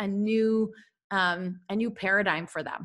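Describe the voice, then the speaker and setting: A woman speaks at a medium pitch and a moderate pace. Her intonation is fairly even. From Russia, moved to the US at twelve. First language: Russian. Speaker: mindset coach and author. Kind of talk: podcast interview.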